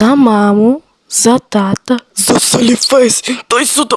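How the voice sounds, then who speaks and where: A woman puts on a cartoonish character voice, high in pitch and at a fairly slow pace. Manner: playful.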